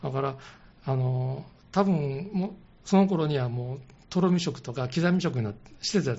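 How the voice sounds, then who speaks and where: With lively intonation and a fairly high, somewhat breathy voice, a man talks at a moderate pace. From Osaka. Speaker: caregiver support group leader. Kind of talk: radio interview.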